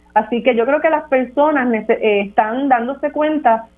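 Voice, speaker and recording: A woman's voice, with ordinary pitch variation, comes over music in the background. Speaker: lawyer and social advocate. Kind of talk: political analysis discussion.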